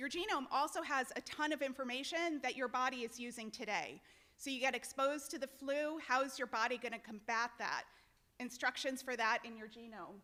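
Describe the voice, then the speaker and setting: With a raised, projected voice, a woman speaks at a high pitch and a fairly quick pace. Her tone is bright and sharp, with ordinary pitch variation. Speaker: genetics researcher. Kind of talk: lecture. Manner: loud; animated.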